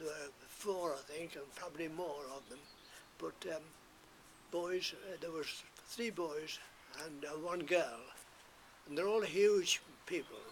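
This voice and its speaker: A man with a fairly high pitch speaks at a fairly slow pace with ordinary pitch variation and long, frequent pauses. His loudness swings widely, and there is noticeable background noise. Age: 80s+. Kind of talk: interview answer.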